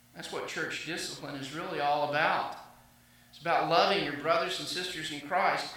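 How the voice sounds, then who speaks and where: A man with an American accent talks at a moderate pace in a fairly high pitch, with monotone, flat intonation and big swings in loudness. Noticeable background noise and audible room echo surround him. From US South. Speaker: pastor. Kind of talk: sermon. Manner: halting.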